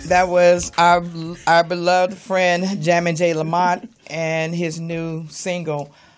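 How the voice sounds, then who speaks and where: Against noticeable background noise, a woman speaks very slowly at a fairly low pitch in a monotone, flat intonation. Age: 60s. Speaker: radio host. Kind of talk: casual chat. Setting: studio.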